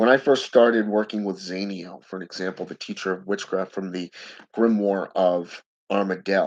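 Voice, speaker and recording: Against a quiet background, a man with an unremarkable speaking voice talks at a moderate pace, with a fairly low pitch and fairly even intonation. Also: big swings in loudness. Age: 40s. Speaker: occult practitioner and video blogger. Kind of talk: solo monologue to camera.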